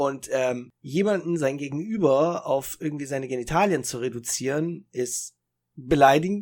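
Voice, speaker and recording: The pace is moderate and the pitch variation ordinary. It is an ordinary speaking voice. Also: man, fairly high pitch for a man. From northern Germany, Italian parents. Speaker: podcast co-host. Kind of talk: casual chat.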